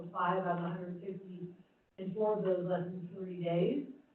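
A woman speaks at a moderate pace in a medium pitch, with audible room echo. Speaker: county housing staff. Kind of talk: committee discussion. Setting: public meeting room. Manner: loud.

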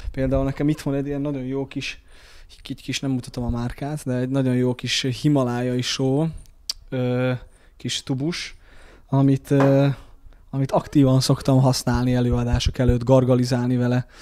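With a dark, mellow tone at a medium pitch, a man speaks in a flat monotone with long, frequent pauses over noticeable background noise. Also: moderate pace. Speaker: stage actor. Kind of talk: interview. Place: bathroom. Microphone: handheld.

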